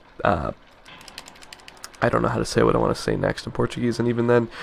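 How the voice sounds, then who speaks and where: Noticeable background noise can be heard. A man talks over it. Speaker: let's play gamer. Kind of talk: casual gameplay commentary. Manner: fast.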